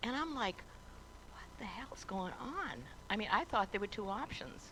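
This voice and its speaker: Noticeable background noise sits under the audio. A woman is whispering at a moderate pace. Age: 70s. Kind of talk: telethon guest storytelling. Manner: animated.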